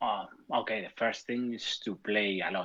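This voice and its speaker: Speaking at a fairly slow pace with a Spanish accent, a man has a bright, sharp tone and fairly even intonation. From Spain. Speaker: competitive tabletop game player. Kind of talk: casual chat.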